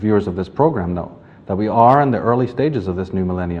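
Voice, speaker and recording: With audible room echo, a man speaks at a very fast pace and a fairly low pitch. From Northern Ireland, Belfast. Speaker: author and lecturer. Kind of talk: lecture. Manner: formal.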